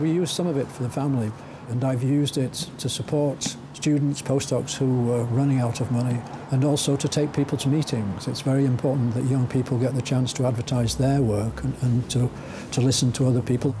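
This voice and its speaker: A man speaks at medium pitch and a fairly quick pace, with fairly even intonation and very even loudness, amid noticeable background noise. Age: 60s. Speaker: scientist. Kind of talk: interview. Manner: halting.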